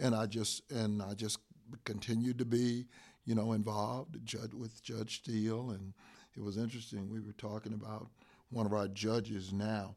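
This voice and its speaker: A moderate-paced, monotone, flat delivery with an American accent. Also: man. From Texas. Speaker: county commissioner. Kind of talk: interview. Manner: halting, repeats words.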